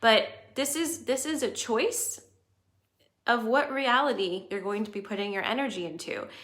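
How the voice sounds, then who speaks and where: With lively intonation and a high pitch, a woman speaks at a moderate pace with long, frequent pauses in a room with audible echo. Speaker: astrology livestream host. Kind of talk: livestream talk to viewers. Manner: casual.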